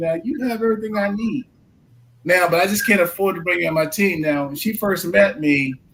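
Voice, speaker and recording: Over noticeable background noise, a man talks at a fairly quick pace with a high pitch and lively intonation. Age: 60s. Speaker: insurance agent, husband of guest. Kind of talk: talk show panel discussion. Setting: live stream.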